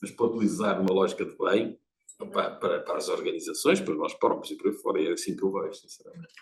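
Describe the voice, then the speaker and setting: The speaker talks at a very fast pace with a European Portuguese accent. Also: man, big swings in loudness. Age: 70s. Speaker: audience member, lecturer. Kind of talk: seminar audience comment. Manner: animated.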